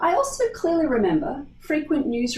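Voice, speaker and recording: A woman with an Australian accent at a moderate pace, with audible room echo. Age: 50s. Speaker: geneticist. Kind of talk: pre-recorded conference talk. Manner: formal.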